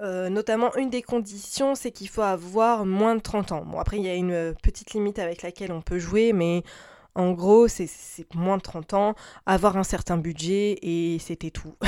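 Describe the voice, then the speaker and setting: Her tone is dark and mellow, with ordinary pitch variation. The woman is heard in a very clean recording against a silent background. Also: medium pitch for a woman, moderate pace. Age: 30s. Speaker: podcaster. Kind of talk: solo advice podcast.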